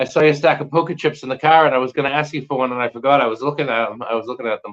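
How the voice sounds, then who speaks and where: A man with an American accent talks very fast at a fairly high pitch, keeping his intonation fairly even. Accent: Boston accent, thick sometimes. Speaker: magnet fishing YouTuber. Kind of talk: casual chat.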